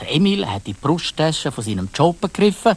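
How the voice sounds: Big pitch swings mark this man's speech. He talks at a moderate pace and a fairly high pitch.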